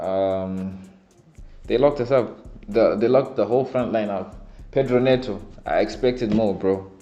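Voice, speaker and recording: With a non-native accent, the speaker keeps a moderate pace and ordinary pitch variation, pausing long and often amid audible room echo. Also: man, medium pitch for a man. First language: not English. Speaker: football fan vlogger. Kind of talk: casual fan reaction commentary.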